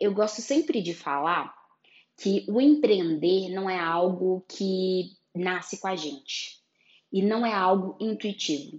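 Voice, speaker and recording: Here a woman uses an ordinary speaking voice at medium pitch, with ordinary pitch variation. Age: 30s. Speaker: photographer and podcast host. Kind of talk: solo podcast monologue.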